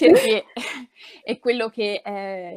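At a fairly slow pace, a woman speaks with fairly even intonation. The background is quiet. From Calabria, southern Italy. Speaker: public speaking trainer; public speaking trainer, interviewee. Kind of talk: interview. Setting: online live stream. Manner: halting, many fillers. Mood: warm, engaged, smiling. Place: home room.

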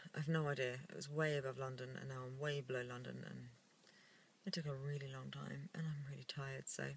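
A woman's very deep, low voice, somewhat breathy, at a fairly quick pace, with a dry sound and no echo. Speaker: vlogger. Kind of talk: casual vlog chat. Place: car. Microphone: phone near.

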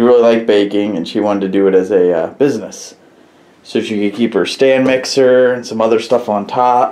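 Fairly even intonation from a man at a fairly quick pace. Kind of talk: casual vlog chat. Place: workshop. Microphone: phone near.

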